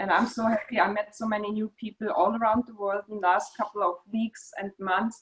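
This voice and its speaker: Fairly quick delivery with a slight German accent, big swings in loudness and hardly any pauses. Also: woman, fairly high pitch for a woman. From Germany. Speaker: meeting host, Parkinson's advocate. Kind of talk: online meeting introduction. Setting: video call. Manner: halting.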